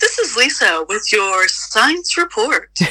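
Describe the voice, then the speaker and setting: A woman speaks in a put-on character voice, pitched extremely high, at a fairly slow pace. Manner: smooth, measured broadcaster voice.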